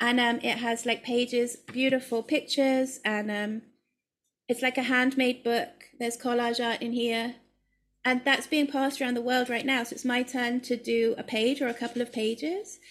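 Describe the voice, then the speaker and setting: In a very clean recording with a silent background, a woman with a British accent talks at a moderate pace, her high voice keeping a fairly even intonation. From UK. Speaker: collage artist. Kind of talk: casual interview.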